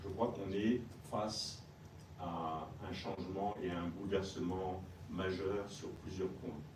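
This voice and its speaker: A man with a French accent speaks at a moderate pace in a very deep, low voice with fairly even intonation. Audible room echo and noticeable background noise fill the recording. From France. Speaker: retired army general. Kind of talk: panel talk. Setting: US Capitol building event.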